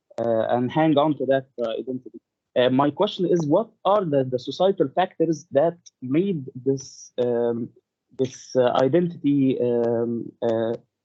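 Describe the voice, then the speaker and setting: A man talks at a fairly slow pace with a non-native accent. His pitch is medium, with ordinary variation. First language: not English. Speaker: audience member asking a question. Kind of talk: question in webinar Q&A. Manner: halting.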